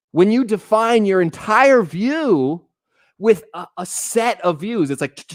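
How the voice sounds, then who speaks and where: Animated and with lively intonation, a man with an American accent speaks on a very clean recording with a silent background. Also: dry, close sound with no echo. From Texas. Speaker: streamer. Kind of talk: casual live-stream chat. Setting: live stream.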